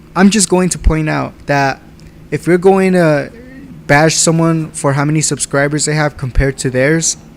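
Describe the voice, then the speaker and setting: Noticeable background noise sits behind a moderate pace and fairly even intonation. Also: man, fairly high pitch for a man. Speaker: gaming YouTuber. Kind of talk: casual commentary vlog reading comments.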